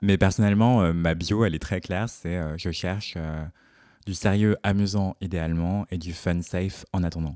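A man speaks with a very deep, low pitch and a dark, mellow tone at a fairly slow pace. His intonation stays fairly even, and the recording is very clean with a silent background. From Paris region, France. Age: 20s. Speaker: fashion journalist. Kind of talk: casual interview.

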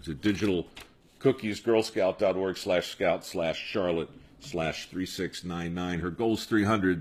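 A man speaks in a normal speaking voice, pitched fairly low. His pace is fairly slow. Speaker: podcast host.

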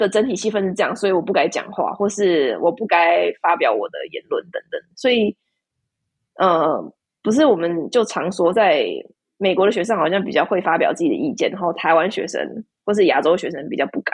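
A woman speaks at medium pitch and a fairly quick pace. Her pitch swings very widely. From Taiwan. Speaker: PhD student. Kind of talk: casual interview chat.

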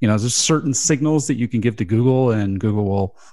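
This man's tone is dark and mellow, and the background is quiet. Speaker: radio host. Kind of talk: casual chat about SEO news, radio show. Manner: radio-style delivery.

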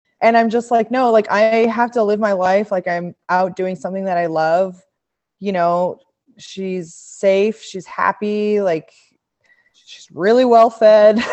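A woman speaks in an unremarkable speaking voice at a medium pitch. Her pace is fairly slow and her intonation fairly even. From Montreal, Quebec, Canada. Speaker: pro cyclist. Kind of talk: casual interview.

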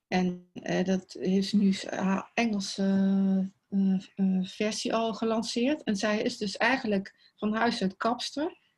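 In a very clean recording with a silent background, a woman with a fairly high pitch speaks at a very slow pace, somewhat breathy, with very even loudness and ordinary pitch variation. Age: 60s. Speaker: clothing style advisor. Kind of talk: casual interview.

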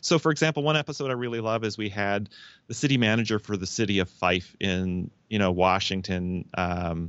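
Speaking at a fairly quick pace with a Canadian accent, a man keeps a fairly low pitch and ordinary pitch variation. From Canada. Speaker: pollinator health professor. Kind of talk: interview. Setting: phone call. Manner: halting, many false starts.

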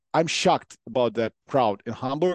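A man speaks with a Ukrainian accent at a moderate pace. The background is quiet. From Ukraine. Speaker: football commentator and pundit. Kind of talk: casual chat. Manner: halting.

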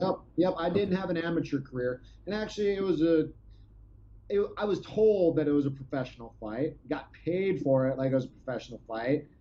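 A man's fairly high voice, animated in tone, with lively intonation at a fairly quick pace. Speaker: former MMA fighter. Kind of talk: casual chat.

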